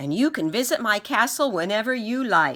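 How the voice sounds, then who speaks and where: A female-sounding, put-on character voice, fairly high in pitch, at a moderate pace. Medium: read story. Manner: shouting, commanding.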